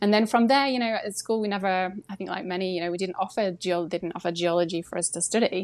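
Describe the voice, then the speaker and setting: Her pitch at a medium level, a woman talks at a very fast pace against a quiet background. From South Yorkshire, England. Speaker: volcano scientist, professor. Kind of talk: interview.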